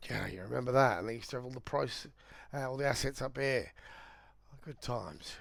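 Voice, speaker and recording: A man talks at a medium pitch with noticeable vocal fry. The recording is very clean, with a silent background. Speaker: crypto trader and streamer. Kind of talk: live trading stream. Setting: livestream. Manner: casual, conversational.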